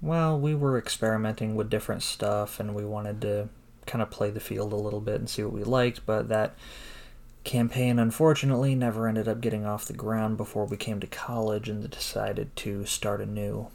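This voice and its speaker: Delivered at a fairly quick pace, this is an ordinary speaking voice with fairly even intonation. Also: man, fairly low pitch for a man. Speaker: podcast host. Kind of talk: casual chat.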